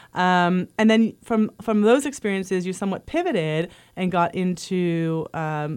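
A woman talks in a plain, everyday voice. Her pitch varies in an ordinary way. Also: very clean recording, silent background. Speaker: podcast host. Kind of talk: interview.

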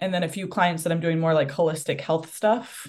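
This woman speaks with an American accent at a fairly low pitch. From New Hampshire, US. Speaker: mental performance coach. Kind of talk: casual interview.

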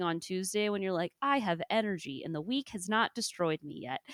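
Speaking in a Midwestern accent at a moderate pace, a woman uses an animated tone and lively intonation, the sound dry and close with no echo. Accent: Midwest US. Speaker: podcast host and climbing coach. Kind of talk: casual chat. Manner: laughs often, animated.

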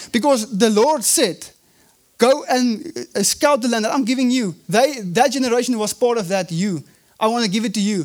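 A man with a South African accent speaks at an extremely high pitch. His pace is moderate and his pitch variation ordinary. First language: Afrikaans. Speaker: evangelist, guest preacher. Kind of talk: sermon. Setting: church service.

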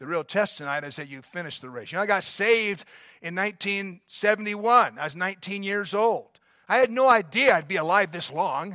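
A man speaks in a raised, projected voice with a high pitch and a bright, sharp tone. His delivery is fairly quick with lively intonation, in a very clean recording with a silent background. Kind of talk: pep talk. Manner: fervent, exhorting, urgent; repetitive, emphatic, rallying the crowd.

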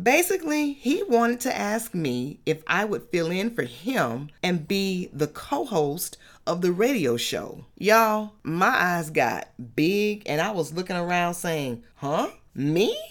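Her pitch swings very widely. This woman talks at a very slow pace. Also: medium pitch for a woman. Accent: Atlanta. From US South, Atlanta, Georgia. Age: young. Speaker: podcast host. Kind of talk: solo faith talk monologue.

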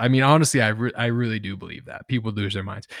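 Very clean and dry, close with no echo, over a silent background, the recording carries a man's plain, everyday voice at a medium pitch and a fairly quick pace. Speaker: podcast co-host. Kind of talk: casual chat.

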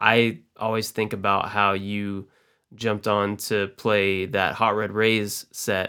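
Over a silent background on a very clean recording, a man speaks very slowly in a fairly low, monotone voice with a bright, sharp tone. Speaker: podcaster, coffee entrepreneur and musician. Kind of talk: casual chat.

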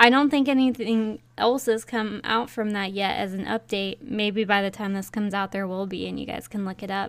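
A woman with a normal speaking voice talks at a moderate pace with hardly any pauses. Her pitch is medium and her intonation fairly even. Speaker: podcast co-host. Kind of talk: casual chat, true crime discussion. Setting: remote video call, recording.

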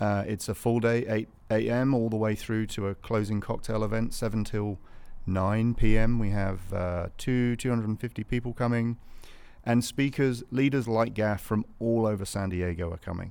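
With a British accent, a man speaks at a medium pitch and moderate pace in a dark, mellow tone with fairly even intonation, on a very clean recording with a silent background. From England, north of London. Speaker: business founder. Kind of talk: casual interview chat. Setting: studio.

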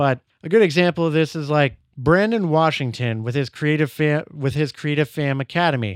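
A man speaks at a moderate pace with a fairly high pitch and ordinary pitch variation. The sound is dry and close with no echo, a very clean recording over a silent background. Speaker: podcast host and content creator. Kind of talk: solo opinion monologue. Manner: casual, conversational.

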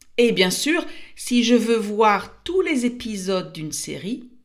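A woman's fairly high voice at a very slow pace, with audible room echo. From France. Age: 50s. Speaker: French teacher and podcaster. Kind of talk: language-learning monologue. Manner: clear and slow.

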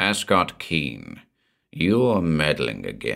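In a put-on character voice, the speaker goes at a very slow pace with very wide pitch swings. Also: man.

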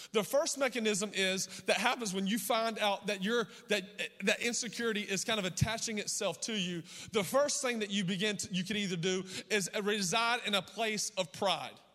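A man's raised, projected, high-pitched voice, animated and bright and sharp in tone, at a moderate pace with ordinary pitch variation. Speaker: pastor. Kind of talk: sermon.

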